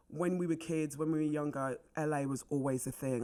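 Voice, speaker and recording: At a moderate pace, a woman with a London accent speaks in a dark, mellow tone. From North London, England (Wembley), Jamaican family. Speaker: actress. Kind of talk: casual chat.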